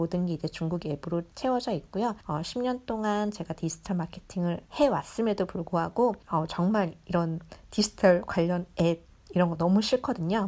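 A dark, mellow tone at a moderate pace. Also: woman, medium pitch for a woman, ordinary pitch variation. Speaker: digital marketer. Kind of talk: recorded monologue talk.

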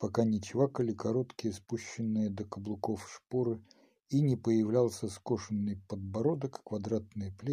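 Someone reads a text aloud. The reading is plain.

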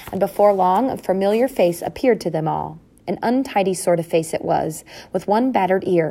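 The clip features an unforced reading voice. Its intonation moves in a lively way.

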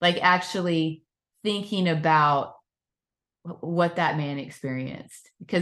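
A woman talks in an ordinary speaking voice, fairly low in pitch. Her pace is fairly slow, with ordinary pitch variation. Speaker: podcast co-host. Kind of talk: casual Bible study discussion.

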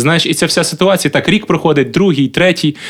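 A man speaks with vocal fry. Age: 30s. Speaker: singer and former comedian. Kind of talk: casual chat.

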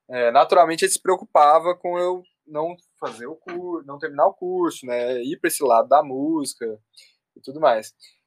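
This man has a normal speaking voice with a fairly high pitch and ordinary pitch variation, talking at a moderate pace in a dry, close sound with no echo. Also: big swings in loudness. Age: 20s. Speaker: music producer and audio engineer. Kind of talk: casual chat.

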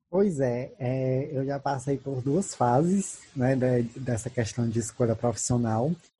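A man speaks very slowly in a dark, mellow, somewhat breathy voice with ordinary pitch variation. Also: medium pitch for a man. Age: 20s. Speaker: podcast host and Portuguese teacher. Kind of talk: casual chat.

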